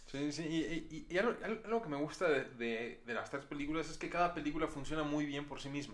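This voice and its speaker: A man speaks at a fairly quick pace in a fairly high voice. His pitch varies in an ordinary way, with noticeable background noise. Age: 20s. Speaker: film podcast host. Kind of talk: casual chat.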